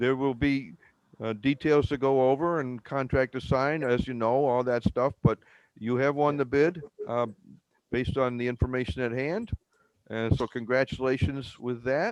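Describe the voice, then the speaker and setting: The man has a normal speaking voice at a medium pitch and a moderate pace. His intonation is fairly even, and the sound is dry and close with no echo. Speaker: village mayor chairing board meeting. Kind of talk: public board meeting.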